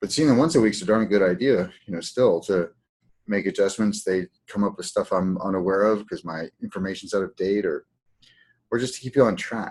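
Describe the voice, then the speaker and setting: Here a man speaks with a fairly low pitch at a fairly quick pace. His pitch varies in an ordinary way. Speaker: healing practice coach. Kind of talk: webinar teaching. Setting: online webinar. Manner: fast.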